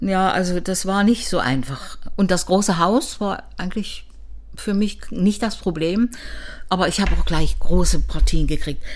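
Audible room echo surrounds the recording. A woman talks at a fairly slow pace. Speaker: retired opera singer. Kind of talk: interview.

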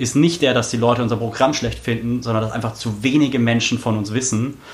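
With fairly even intonation, a man at a medium pitch speaks over noticeable background noise. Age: 20s. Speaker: local politician, city council candidate. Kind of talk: podcast interview. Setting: studio in Berlin.

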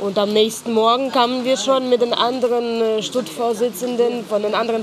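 Noticeable background noise at a moderate pace. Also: woman. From Ukraine (Lutsk, northwest). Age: 30s. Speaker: NGO worker, former student protester. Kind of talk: personal testimony interview. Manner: hesitant, with fillers.

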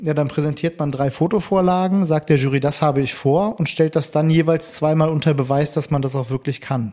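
With hardly any pauses, a man speaks at a fairly quick pace in a fairly high pitch and a dark, mellow tone. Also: ordinary pitch variation. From Bonn, Germany. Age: 30s. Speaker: coffee roaster and barista. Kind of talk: casual interview.

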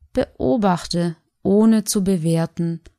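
In a dry, close recording with no echo, a woman speaks very slowly in a calm, soothing tone, her dark, mellow voice fairly low in pitch with ordinary pitch variation. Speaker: meditation guide. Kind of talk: guided meditation. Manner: slow, calm, soothing, with long pauses; soft-spoken, gentle.

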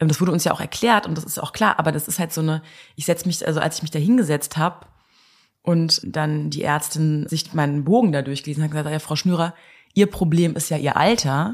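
A woman's very deep, low voice at a fairly quick pace, with ordinary pitch variation, on a very clean recording with a silent background. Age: 30s. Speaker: interviewee in fertility treatment. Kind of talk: casual interview. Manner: hesitant, many fillers.

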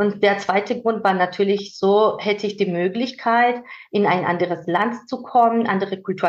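A woman talks at medium pitch and a fairly slow pace. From Georgia. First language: Georgian (speaking German). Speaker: manager and mentor. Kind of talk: interview conversation. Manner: hesitant with fillers.

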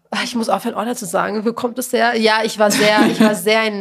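The woman has a normal speaking voice. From Lower Austria, working-class town. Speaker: podcast host, journalist. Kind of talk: casual chat.

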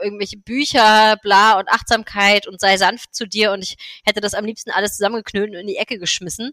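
This bright, sharp voice moves at a fairly quick pace, with a dry, close sound and no echo. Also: woman. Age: 30s. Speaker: MS blogger and yoga teacher. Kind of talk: interview.

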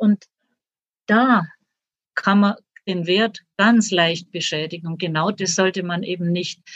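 Speaking very slowly at a medium pitch, a woman leaves long, frequent pauses and keeps her intonation fairly even. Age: 60s. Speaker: author and retired teacher. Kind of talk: interview.

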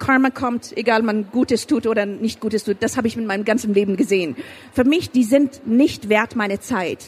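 A woman speaks at a fairly high pitch and moderate pace, with ordinary pitch variation. Noticeable background noise runs behind her. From Afghanistan. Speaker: author and filmmaker. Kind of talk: interview. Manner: halting, with repetitions and English code-switching.

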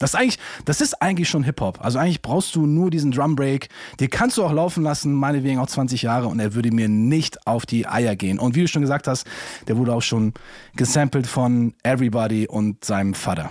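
A man speaks in an unremarkable speaking voice at a medium pitch. His pace is fairly quick, with ordinary pitch variation and very even loudness. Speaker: podcast co-host. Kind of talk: casual podcast chat.

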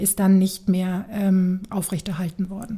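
The woman speaks at a fairly slow pace. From Franconia, Nuremberg (Germany). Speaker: city tour guide. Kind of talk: casual interview. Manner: lively.

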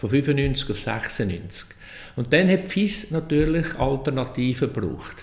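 With a Central Swiss accent, a man speaks at a fairly high pitch with ordinary pitch variation. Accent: Nidwalden Swiss German dialect. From Switzerland, canton of Nidwalden. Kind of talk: casual interview.

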